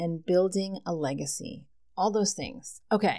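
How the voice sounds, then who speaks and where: On a very clean recording with a silent background, a woman with an American accent and medium pitch speaks at a very slow pace in a relaxed tone. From New Jersey. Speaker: podcast host. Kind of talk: casual solo monologue. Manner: relaxed, laughing.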